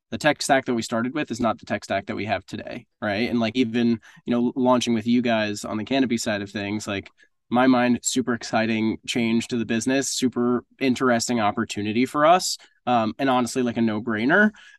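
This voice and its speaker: In a normal speaking voice, a man talks at a fairly quick pace with a medium pitch and fairly even intonation, the sound dry and close with no echo against a quiet background. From US Northeast. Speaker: business operations director at a product development agency. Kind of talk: podcast interview.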